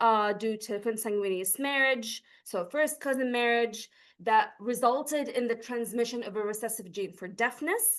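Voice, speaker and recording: A woman with a high pitch speaks at a moderate pace over a quiet background. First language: Arabic. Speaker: PhD researcher. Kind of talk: academic conference presentation. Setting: lecture hall, recorded on Zoom.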